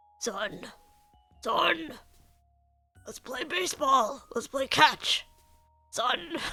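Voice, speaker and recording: Put-on character voice, fairly high-pitched and very slow, with long, frequent pauses and faint music in the background. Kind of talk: playful dad voice. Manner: exaggerated fatherly cheer.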